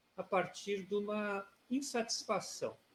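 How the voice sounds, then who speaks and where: Speaking at a very slow pace, a man with a high pitch keeps his intonation fairly even. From southern Brazil, Rio Grande (RS). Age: 60s. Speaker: retired judge, political candidate. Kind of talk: interview.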